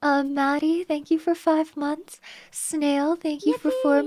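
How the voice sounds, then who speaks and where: A woman with a high voice speaks at a very slow pace in a monotone, flat intonation. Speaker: VTuber streamer.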